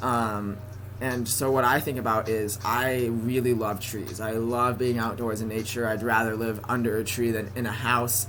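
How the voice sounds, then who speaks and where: Over noticeable background noise, a man with a General American accent speaks in a flat monotone at a medium pitch. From San Francisco Bay Area. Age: 20s. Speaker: college student. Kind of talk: casual talk to camera.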